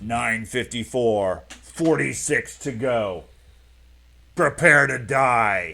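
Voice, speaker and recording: Speaking very slowly, a man uses a gravelly put-on character voice at medium pitch. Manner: menacing, declaring doom.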